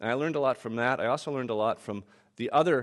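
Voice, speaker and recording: Over a quiet background, a man of medium pitch speaks at a very fast pace. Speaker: urban planner and author giving a keynote. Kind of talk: keynote lecture.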